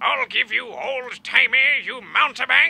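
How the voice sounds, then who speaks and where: A man puts on a cartoonish character voice at a fairly slow pace. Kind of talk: 1930s cartoon voice. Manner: indignant, blustering.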